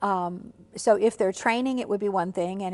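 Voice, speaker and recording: Fairly quick delivery with fairly even intonation. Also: woman. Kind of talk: interview answer. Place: studio.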